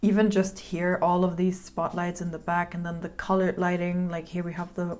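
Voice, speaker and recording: A woman with a non-native accent speaks with fairly low pitch in a monotone, flat way. She talks with hardly any pauses. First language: not English. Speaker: filmmaker reacting to music videos. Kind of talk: video reaction commentary. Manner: casual, filler-heavy.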